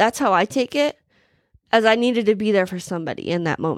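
In a very clean recording with a silent background, a woman has a plain, everyday voice, fairly high in pitch with ordinary pitch variation. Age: 20s. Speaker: faith podcast host. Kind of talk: personal testimony. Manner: casual, filler-heavy.

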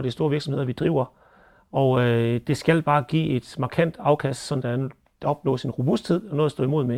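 A man's dark, mellow voice, fairly high in pitch, at a moderate pace over a very clean recording with a silent background. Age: 40s. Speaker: dairy farmer and agricultural board chair. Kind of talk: interview commentary.

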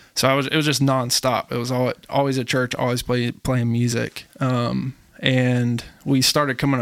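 A man's medium-pitched voice with an American accent, monotone and flat, in a dry, close sound with no echo. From US South, suburban Atlanta, Georgia. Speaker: music producer. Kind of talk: casual interview.

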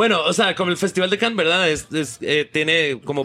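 Speaking at a very fast pace, a man has a fairly high pitch and a bright, sharp tone. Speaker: film director. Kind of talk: interview. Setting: café.

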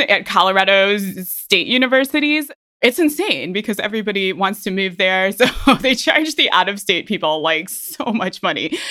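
A woman with an American accent speaks at a moderate pace in a fairly high pitch and a bright, sharp tone. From Ohio. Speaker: podcast host and personal trainer. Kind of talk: casual monologue. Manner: energetic.

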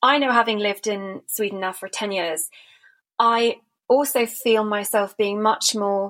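A woman with a British accent speaks at a moderate pace in a fairly high voice, her intonation fairly even. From Britain. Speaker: podcast host and gallerist. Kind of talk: interview conversation. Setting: remote call.

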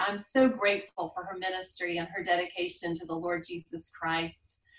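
A woman talks with a Southern US accent. Her intonation is lively. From South Carolina. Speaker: podcast host. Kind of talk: interview chat.

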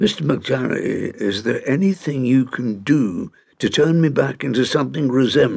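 In a natural reading voice, the pitch varies the ordinary amount.

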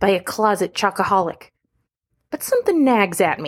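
A woman uses an ordinary speaking voice at a medium pitch and a moderate pace. The recording is very clean, with a silent background. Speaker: radio news reporter. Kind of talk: noir true-crime radio narration, scripted and tongue-in-cheek.

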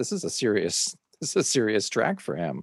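A man with an American accent speaks with vocal fry, his voice dry and close with no echo over a quiet background. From Oregon. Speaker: podcast host and DJ. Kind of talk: casual interview.

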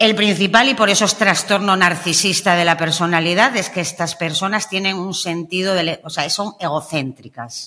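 Speaking at a moderate pace with hardly any pauses, a woman has a bright, sharp tone and a medium pitch with ordinary variation, on a very clean recording with a silent background. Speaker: emotional coach, narcissism expert. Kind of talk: interview conversation.

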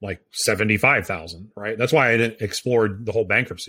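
At a fairly quick pace, a man with a fairly low pitch speaks in an ordinary speaking voice with an American accent. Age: 40s. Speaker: podcast co-host, real estate agent and investor. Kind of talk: casual chat.

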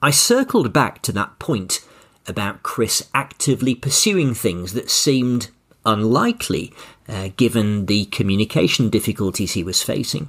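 Here is a man with a plain, everyday voice at a medium pitch. He speaks at a moderate pace with ordinary pitch variation. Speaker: podcast host and communication coach. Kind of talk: interview-style podcast with scripted narration.

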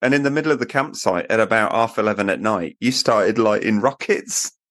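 A man talks in an ordinary speaking voice at medium pitch and a fairly quick pace. The background is quiet and the sound is dry and close with no echo. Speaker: podcast host. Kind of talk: casual banter, year-review episode. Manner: joking, playful.

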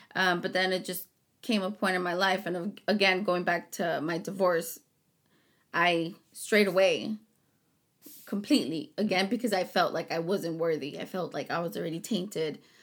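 At a moderate pace and with ordinary pitch variation comes an unremarkable speaking voice in an American accent. The background is silent and the recording very clean. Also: woman, medium pitch for a woman. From Rio Grande Valley, Texas. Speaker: host's wife, small business owner. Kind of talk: casual chat.

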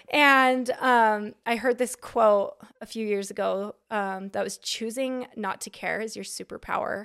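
A woman with an American accent and fairly high pitch, fairly slow with hardly any pauses, fairly even intonation and big swings in loudness, on a very clean recording with a silent background. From Utah, Salt Lake City area. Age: 30s. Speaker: content creator and videographer. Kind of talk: casual chat.

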